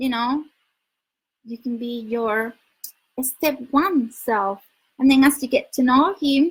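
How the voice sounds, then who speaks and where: Speaking with a Spanish accent, a woman uses a high pitch and ordinary pitch variation. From Spain. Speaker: dating coach. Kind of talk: livestream advice talk. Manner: loud; halting.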